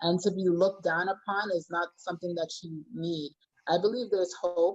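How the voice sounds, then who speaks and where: Here is a woman with a normal speaking voice and fairly low pitch. She talks at a moderate pace with fairly even intonation. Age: 20s. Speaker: youth care practitioner. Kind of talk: panel discussion.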